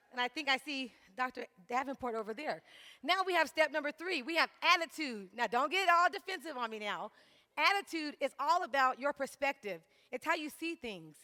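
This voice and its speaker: A woman speaks with a high pitch, an animated tone and lively intonation at a fairly quick pace. Her bright, sharp voice is raised and projected, with a dry, close sound and no echo. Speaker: graduate student and fitness instructor. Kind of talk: presentation to audience. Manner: fast.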